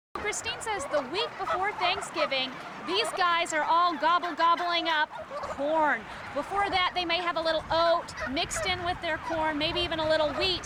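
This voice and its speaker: Over noticeable background noise, a woman projects a raised voice at an extremely high pitch, keeping a moderate pace and ordinary pitch variation. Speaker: TV news reporter. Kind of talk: TV news report narration.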